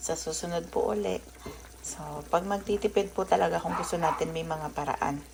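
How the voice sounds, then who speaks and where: A woman talks at a moderate speed while noticeable background noise runs underneath. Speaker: vlogger and homemaker. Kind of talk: cooking vlog. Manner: casual, chatty.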